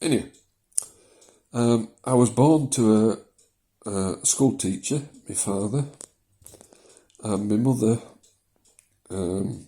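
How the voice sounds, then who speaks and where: Speaking in a Yorkshire accent, a man uses a fairly low pitch and a dark, mellow tone at a very slow pace. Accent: moderated Yorkshire. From South Yorkshire, England. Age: 60s. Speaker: vlogger with prostate condition. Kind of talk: personal video diary. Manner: hesitant, many fillers.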